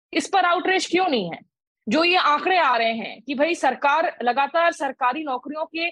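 Using a high pitch with ordinary pitch variation, a woman speaks at a moderate pace. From India, West Bengal (Asansol), non-Bengali. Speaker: senior journalist, foreign affairs. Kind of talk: panel discussion.

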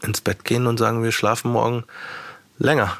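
Noticeable background noise sits behind a man's voice. He speaks at a medium pitch with a dry, close sound and no echo. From Bavaria, small town near Munich. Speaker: rapper and radio presenter. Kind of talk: casual interview.

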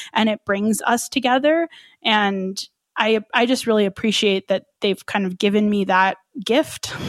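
An unremarkable speaking voice from a woman with an American accent, medium in pitch with ordinary pitch variation, on a very clean recording with a silent background and a dry, close sound without echo. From New Mexico, US (Albuquerque). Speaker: runner and podcast host. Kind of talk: interview conversation.

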